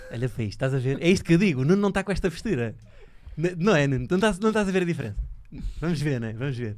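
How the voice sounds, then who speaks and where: Very fast speech from a man with a fairly high pitch and very wide pitch swings. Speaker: podcast host. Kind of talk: casual chat.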